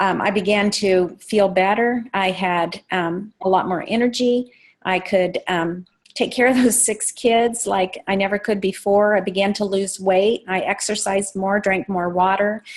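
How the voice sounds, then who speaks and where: Fairly slow and fairly even in intonation, a woman speaks. Her pitch is medium. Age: 60s. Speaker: network marketing distributor. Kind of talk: testimony. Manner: halting.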